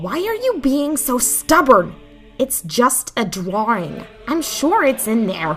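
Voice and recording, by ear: A woman's put-on character voice, fairly high and fairly bright, with big pitch swings at a slow pace over faint music in the background.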